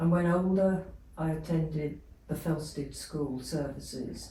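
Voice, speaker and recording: Audible room echo around a woman speaking at a fairly slow pace. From England. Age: 80s+. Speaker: abuse survivor. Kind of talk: testimony.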